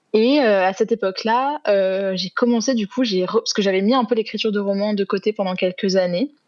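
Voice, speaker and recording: A woman talks at a fairly quick pace with hardly any pauses. Her medium pitch shows ordinary variation. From southern France, Aix-en-Provence. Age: 20s. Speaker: author and student. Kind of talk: podcast interview. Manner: hesitant, many fillers.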